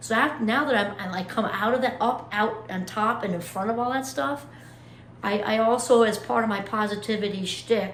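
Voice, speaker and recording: A woman speaks at a moderate pace with lively intonation. Audible room echo and noticeable background noise are present. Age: 50s. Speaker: motivational YouTuber. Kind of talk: casual vlog monologue. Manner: animated.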